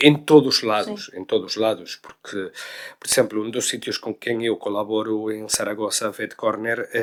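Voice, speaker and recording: Speaking in a Galician accent at a moderate pace, a man of medium pitch keeps a fairly even intonation while his loudness swings widely. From Galicia, Spain. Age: 40s. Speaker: veterinary cardiologist. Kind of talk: interview answer. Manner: frank, direct.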